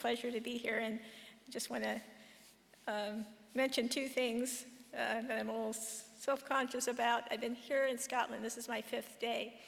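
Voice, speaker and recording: Amid audible room echo, a woman with a fairly high pitch speaks at a moderate pace in a flat monotone. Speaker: professor, conference speaker. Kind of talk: conference talk. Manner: slightly slurred speech.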